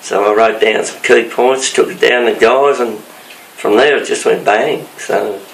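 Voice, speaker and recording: A man with an Australian accent at a fairly slow pace, amid noticeable background noise and audible room echo. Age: 70s. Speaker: retired fire brigade captain. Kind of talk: interview. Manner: halting.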